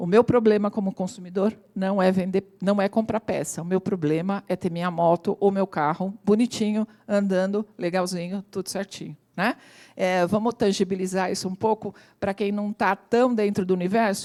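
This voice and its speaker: A woman speaks at a moderate pace in a normal speaking voice with medium pitch and fairly even intonation. The recording is very clean with a silent background and a dry, close sound with no echo. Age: 60s. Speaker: AI consultant and lecturer. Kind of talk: talk to audience.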